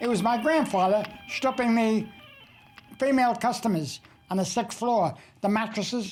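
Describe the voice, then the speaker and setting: A man with a high voice speaks with ordinary pitch variation while music plays in the background. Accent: New York. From New York City (Brooklyn). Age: 80s+. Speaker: cartoonist. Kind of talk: documentary interview.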